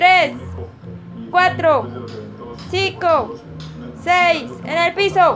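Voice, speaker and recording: A woman speaks in an extremely high voice. Clear music plays in the background. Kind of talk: encouraging counting to a toddler. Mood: playful, encouraging. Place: home room. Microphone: phone near.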